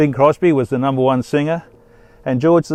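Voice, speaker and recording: A man talks with an Australian accent in a dark, mellow tone. The sound is dry and close, with no echo. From Western Australia, Fremantle. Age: 70s. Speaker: doctor. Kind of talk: personal storytelling monologue. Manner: reflective, with frequent hesitations.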